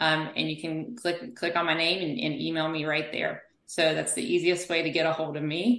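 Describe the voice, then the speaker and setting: A woman with an American accent speaks at a moderate pace with hardly any pauses, her fairly low pitch showing ordinary pitch variation in an unremarkable speaking voice. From US South. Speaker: physical therapist. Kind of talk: interview.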